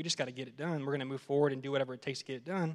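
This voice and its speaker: Intonation stays fairly even as a man speaks with an American accent. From Texas. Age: 30s. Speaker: worship leader candidate. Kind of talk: casual interview. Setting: church stage with audience.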